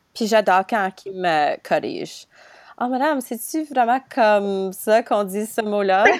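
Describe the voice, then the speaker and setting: A woman with an unremarkable speaking voice and a fairly high pitch talks at a fairly slow pace with lively intonation. The sound is dry and close, with no echo. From Ontario. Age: 20s. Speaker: podcast host and student teacher. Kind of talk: casual interview.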